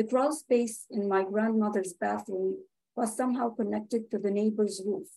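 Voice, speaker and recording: Her voice sits fairly high yet carries a dark, mellow tone. The woman keeps a moderate pace and fairly even intonation. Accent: Arabic. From Lebanon. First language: Arabic. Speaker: journalist and writer. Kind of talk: reading aloud from own essay. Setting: video call webinar.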